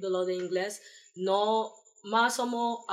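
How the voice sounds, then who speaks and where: Speech comes at a very slow pace, its intonation fairly even. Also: woman. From New York, US, Panamanian family. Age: 20s. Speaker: Peace Corps volunteer. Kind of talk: casual interview.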